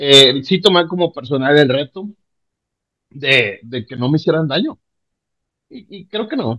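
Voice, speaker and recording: Lively intonation marks this man's fairly slow pace. The sound is dry and close, with no echo. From Panama, then northern Mexico. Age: 40s. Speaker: podcast guest. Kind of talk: casual chat. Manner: animated.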